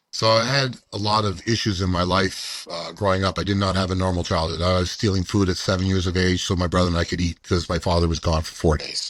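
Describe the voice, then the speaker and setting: A man with a Canadian accent talks at a very fast pace in a very deep, low pitch, the sound dry and close with no echo on a very clean recording with a silent background. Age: 60s. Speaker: amateur football player and author. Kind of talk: interview answer.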